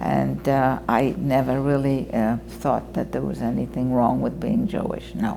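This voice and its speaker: A woman talks at a fairly slow pace with hardly any pauses, while audible room echo and noticeable background noise surround her. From Poland (Krakow). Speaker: Holocaust survivor. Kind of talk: oral history testimony.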